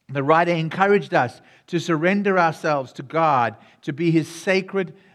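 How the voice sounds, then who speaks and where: A man's high-pitched voice in a South African accent, with a warm, animated tone. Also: very clean recording, silent background. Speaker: pastor. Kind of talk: sermon. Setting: church. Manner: warm and animated.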